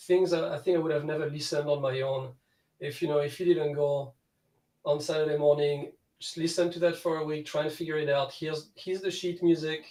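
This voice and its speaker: Speaking with a French accent, a man with a fairly high pitch and a dark, mellow tone talks at a fairly quick pace in a monotone, flat intonation. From France. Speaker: guitar student. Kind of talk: casual chat.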